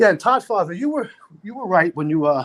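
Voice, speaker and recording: With a Brooklyn accent, a man talks at a moderate pace. His pitch is high and his intonation lively. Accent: New York (Brooklyn). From Brooklyn, New York (Sheepshead Bay). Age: 60s. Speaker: livestream panelist. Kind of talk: casual chat.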